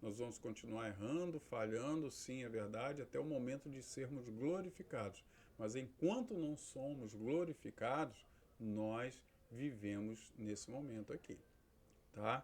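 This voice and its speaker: An ordinary speaking voice from a man, medium in pitch and fairly slow in pace. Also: ordinary pitch variation. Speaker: pastor and theology teacher. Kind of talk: lecture.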